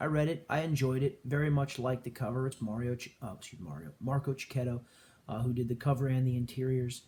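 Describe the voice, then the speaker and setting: In a medium pitch, a man talks at a very fast pace, somewhat breathy and with ordinary pitch variation. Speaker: comic book collector youtuber. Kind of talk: casual haul video talk. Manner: quiet; hesitant with many fillers.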